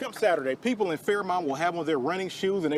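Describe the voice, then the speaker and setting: A man's voice over noticeable background noise. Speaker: sports anchor and reporter. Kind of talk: TV news read.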